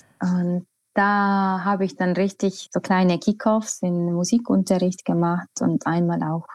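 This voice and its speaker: At a very slow pace, a woman with an Estonian accent speaks at a medium pitch in a dark, mellow tone, the sound dry and close with no echo. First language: Estonian (speaking German). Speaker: choir conductor. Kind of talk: interview. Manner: hesitant, with fillers.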